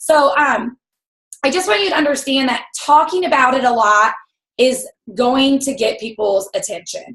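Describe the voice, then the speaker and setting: Loud and high-pitched, a woman talks at a moderate pace with lively intonation. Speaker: network marketing team leader. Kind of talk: motivational team call. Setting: video call.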